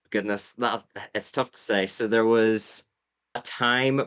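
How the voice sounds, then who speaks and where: A man with a Northern Irish accent speaks at a moderate pace with fairly even intonation, recorded dry and close with no echo against a quiet background. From Northern Ireland. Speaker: Survivor YouTuber. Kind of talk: podcast interview.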